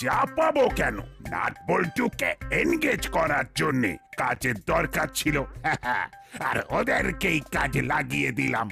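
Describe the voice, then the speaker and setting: A man's cartoonish character voice at a fairly slow pace and very even loudness, with clear music in the background. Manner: stammering with filler words.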